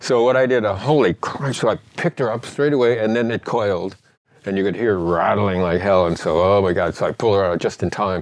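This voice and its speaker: Very fast in pace, this man has a fairly low pitch. His pitch varies in an ordinary way. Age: 70s. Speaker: veteran. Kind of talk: casual chat. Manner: halting.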